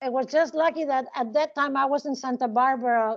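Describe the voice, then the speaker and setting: With a Spanish accent, a woman speaks at a high pitch and a fairly quick pace with fairly even intonation. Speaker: criminology professor. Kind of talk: interview. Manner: halting.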